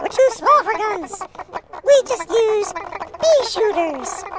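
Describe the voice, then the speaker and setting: Squeaky and pitched extremely high, this is a put-on character voice. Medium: read story. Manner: casual, teasing.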